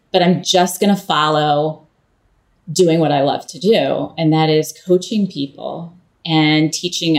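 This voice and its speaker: A woman with an American accent speaks at a fairly slow pace. Her voice is fairly low, with fairly even intonation. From Pennsylvania, US. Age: 50s. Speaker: leadership coach. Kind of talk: interview. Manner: hesitant, many fillers.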